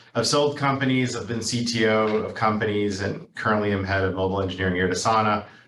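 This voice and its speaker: Over noticeable background noise, a man in an American accent talks at a very fast pace with hardly any pauses and ordinary pitch variation. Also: fairly low pitch for a man. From New York City. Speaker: engineering leader. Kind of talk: presentation.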